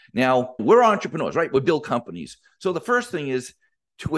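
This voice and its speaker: A man with a fairly high pitch, very wide pitch swings and vocal fry over a quiet background. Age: 50s. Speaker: business coach podcast host. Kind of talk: motivational solo podcast monologue. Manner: animated.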